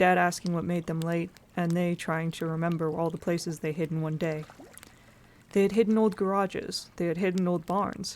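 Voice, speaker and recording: Soft-spoken, the voice moves along at a moderate pace. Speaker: streamer reading a novel aloud. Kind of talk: reading aloud. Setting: live stream.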